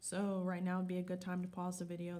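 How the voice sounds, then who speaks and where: A woman with a fairly low pitch and a dark, mellow, somewhat breathy tone talks at a fairly quick pace. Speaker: school science teacher. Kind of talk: recorded class lesson with notes. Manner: fast; instructive, frequent okay checks.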